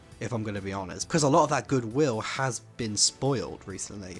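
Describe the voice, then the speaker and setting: A man's pitch moves in a normal way, with music audible behind him. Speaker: animation commentary youtuber. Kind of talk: casual commentary to camera.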